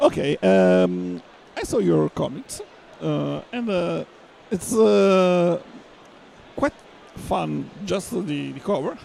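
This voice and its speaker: A man with an Italian accent talks at a very slow pace. He leaves long, frequent pauses. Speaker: radio host. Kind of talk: interview. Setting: comics convention. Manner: halting.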